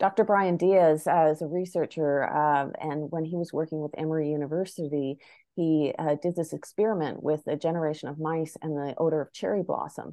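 Against a quiet background, a woman with a Maritime Canadian accent and a very deep, low voice speaks fairly quickly and evenly, with hardly any pauses. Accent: Canadian (Maritimes). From Prince Edward Island, Canada (Charlottetown). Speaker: filmmaker and actor. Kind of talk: interview conversation.

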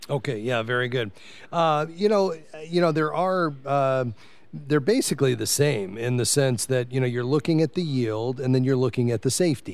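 Talking at a moderate pace with lively intonation, a man uses an ordinary speaking voice at medium pitch. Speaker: radio host. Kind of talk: call-in radio show. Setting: live broadcast from a convention suite.

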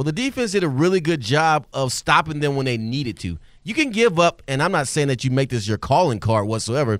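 A man talks at a fairly quick pace with hardly any pauses, his pitch swinging very widely. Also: fairly high pitch for a man. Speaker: sideline reporter, former player. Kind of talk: phone interview. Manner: fast.

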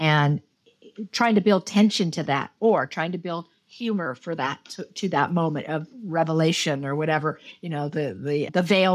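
A woman with an American accent speaks at a moderate pace in a fairly low voice, her pitch rising and falling in an ordinary way. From Los Angeles, US. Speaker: television director. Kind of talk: interview conversation.

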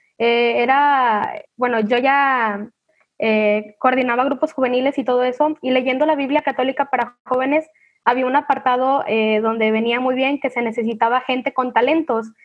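Her pitch high and her loudness very even, a woman speaks at a moderate pace with fairly even intonation. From Mexico, Manzanillo, Colima. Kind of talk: casual virtual panel chat. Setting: video call.

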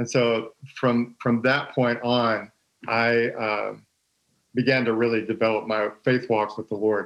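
Here a man speaks in an American accent at a medium pitch. His delivery is fairly slow, with monotone, flat intonation. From Texas. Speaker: former pastor's son in church ministry. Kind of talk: casual chat.

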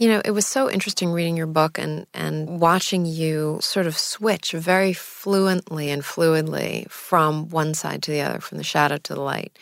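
A woman speaks with a very deep, low pitch and ordinary pitch variation. There is noticeable background noise. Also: moderate pace, hardly any pauses. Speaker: podcast co-host. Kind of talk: interview conversation.

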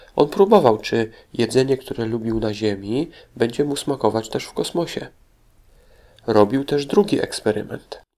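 A man's dark, mellow tone at medium pitch, with big swings in loudness. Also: ordinary pitch variation, moderate pace. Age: 40s. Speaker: children's history podcast host. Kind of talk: educational talk for children.

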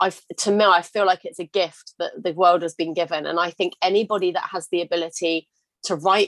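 A woman speaks with a British accent at a medium pitch and a moderate pace. Her intonation is fairly even, and the sound is dry and close with no echo. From England. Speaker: confidence coach and podcast host. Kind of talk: casual interview conversation.

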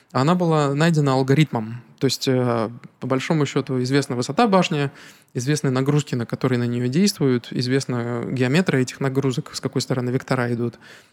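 A man with a plain, everyday voice talks at a fairly quick pace, his medium pitch showing ordinary pitch variation. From Narva, Estonia (Russian-speaking). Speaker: architect. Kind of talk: casual interview.

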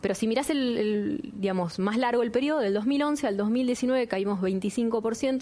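Slowly, at a very slow pace, a woman speaks with a fairly high pitch and ordinary pitch variation. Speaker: industry business leader. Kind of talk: interview.

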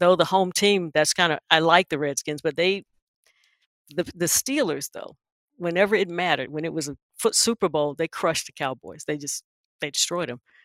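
In a very clean recording with a silent background and a dry, close sound with no echo, a woman with a Southern US accent speaks at a fairly low pitch. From eastern North Carolina, Wilson. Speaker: corporate executive. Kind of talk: interview.

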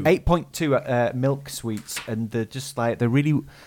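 A man with a British accent at a medium pitch, with ordinary pitch variation. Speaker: podcast co-host. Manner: fast talker; fast talker, can sound garbled.

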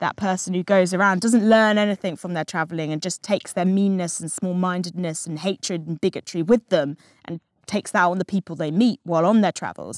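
Speaking very fast with an English accent, a woman at medium pitch keeps her intonation fairly even, and the sound is dry and close with no echo. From England. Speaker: magazine politics editor and podcast host. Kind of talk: book club discussion.

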